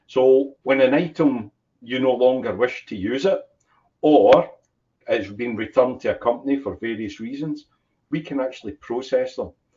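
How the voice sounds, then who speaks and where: Here a man talks at a moderate pace, with ordinary pitch variation and big swings in loudness. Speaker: business owner. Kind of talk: interview.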